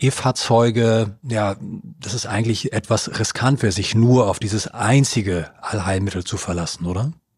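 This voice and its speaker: The speaker is a man with a fairly low pitch. His voice sounds somewhat breathy. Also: very clean recording, silent background. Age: 40s. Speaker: podcast host. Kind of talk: interview.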